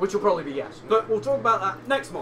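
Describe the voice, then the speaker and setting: A man speaks with an English accent against noticeable background noise. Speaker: podcast co-host. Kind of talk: casual chat.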